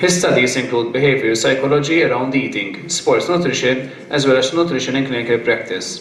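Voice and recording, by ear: The speech moves at a fairly quick pace with ordinary pitch variation, and room echo is audible. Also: man, medium pitch for a man.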